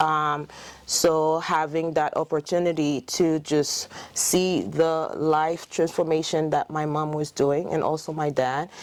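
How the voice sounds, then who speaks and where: Speaking at a fairly slow pace in a Haitian accent, a woman has a very deep, low pitch and monotone, flat intonation. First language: French. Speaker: dentist. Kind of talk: interview. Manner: hesitant, many fillers.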